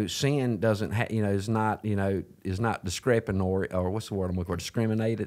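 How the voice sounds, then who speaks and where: A man with a Southern US accent at a very fast pace, with a fairly low pitch and monotone, flat intonation. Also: quiet background. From US South. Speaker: podcast host. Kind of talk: casual faith-based interview chat. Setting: studio. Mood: earnest, reflective. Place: home room. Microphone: studio mic.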